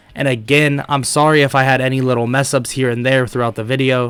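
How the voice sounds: A man speaks at a fairly quick pace in a nasal voice with a fairly bright, clear, smooth tone and little pitch movement. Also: medium pitch for a man.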